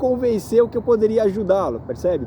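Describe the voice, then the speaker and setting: A high-pitched man speaks at a moderate pace amid noticeable background noise. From Brazil. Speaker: real estate agent. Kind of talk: vlog monologue. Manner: halting, many fillers.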